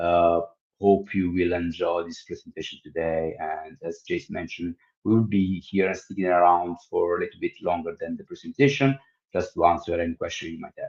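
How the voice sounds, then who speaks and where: A man with a strong Italian accent speaks at a fairly quick pace. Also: big swings in loudness. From Italy. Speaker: tech company executive. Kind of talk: product demo webinar. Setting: livestream.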